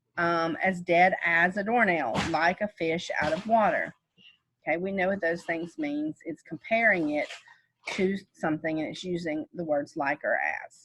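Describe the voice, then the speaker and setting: A woman with an ordinary speaking voice talks at a fairly slow pace, her fairly low pitch showing ordinary variation. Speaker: teacher. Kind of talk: lecture.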